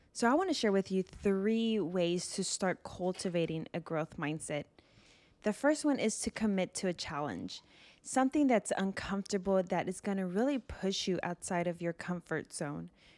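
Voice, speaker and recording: A woman speaks at a moderate pace with medium pitch and lively intonation, in a very clean, dry, close recording with no echo and a silent background. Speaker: podcast host. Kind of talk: solo motivational talk. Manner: energetic, enthusiastic.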